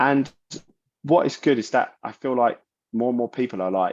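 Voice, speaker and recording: A man with a South London accent talks at a medium pitch and moderate pace. His pitch varies in an ordinary way over a quiet background. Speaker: metal vocalist and bassist. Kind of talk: interview. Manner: animated.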